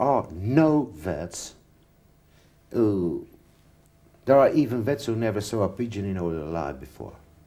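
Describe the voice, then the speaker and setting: A man speaks with a fairly low pitch and a dark, mellow tone. His pitch swings very widely at a fairly slow pace. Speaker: pigeon health specialist. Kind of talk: interview. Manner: halting.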